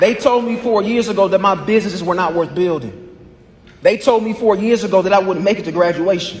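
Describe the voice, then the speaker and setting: At a fairly quick pace, a man talks in a high pitch with ordinary pitch variation. Noticeable background noise runs behind him. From US Midwest, Indianapolis east side. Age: 20s. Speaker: law graduate and business lecturer. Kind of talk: graduation speech. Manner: rhythmic oratorical delivery.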